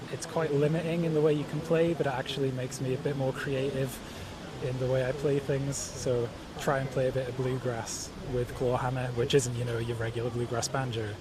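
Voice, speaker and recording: A man with a Geordie accent talks at a fairly quick pace with fairly even intonation, amid audible room echo and noticeable background noise. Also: medium pitch for a man. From northeast England, Newcastle. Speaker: banjo player and songwriter. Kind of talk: interview. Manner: halting.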